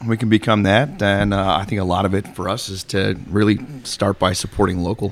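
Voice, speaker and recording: A man with an American accent and a fairly low pitch speaks fairly quickly in an ordinary speaking voice with fairly even intonation. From Chicago area, US Midwest. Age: 30s. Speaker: metal podcast co-host. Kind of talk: casual chat.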